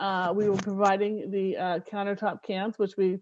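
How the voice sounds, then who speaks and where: A woman's medium-pitched voice comes through with little else behind it but quiet. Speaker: city recycling program presenter. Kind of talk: community meeting presentation. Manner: hesitant, many filler words.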